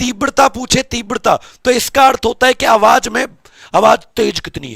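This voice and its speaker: A man speaks at an extremely high pitch in an animated tone. The sound is dry and close, with no echo. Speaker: teacher. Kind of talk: lecture.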